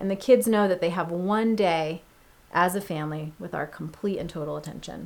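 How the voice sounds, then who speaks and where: This woman has a normal speaking voice, pitched fairly low. She talks at a moderate pace with ordinary pitch variation. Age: 30s. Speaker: pastor. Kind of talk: podcast conversation.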